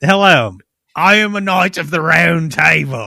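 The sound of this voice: A man puts on a raspy character voice with an Australian accent, pitched high. He keeps a moderate pace.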